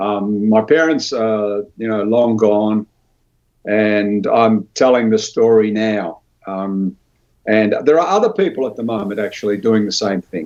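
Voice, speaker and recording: Speaking at a fairly slow pace, a man holds a medium pitch with ordinary pitch variation. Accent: Australian. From Australia. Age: 70s. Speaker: author. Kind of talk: interview.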